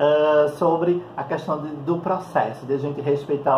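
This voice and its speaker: Over noticeable background noise and audible room echo, a man speaks at a moderate pace with a fairly high pitch and fairly even intonation. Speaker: psychologist and holistic therapist. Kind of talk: vlog monologue. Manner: calm.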